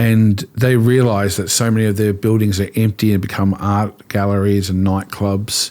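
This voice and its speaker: An Australian-accented man, fairly low in pitch, at a moderate pace with hardly any pauses and very even loudness. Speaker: pastor. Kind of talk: interview conversation. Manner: animated.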